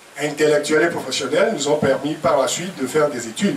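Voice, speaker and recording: The pitch varies in an ordinary way. There is noticeable background noise and audible room echo. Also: man. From Togo. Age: 70s. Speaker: professor. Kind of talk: press conference talk. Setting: press conference at a private home. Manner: hesitant with fillers.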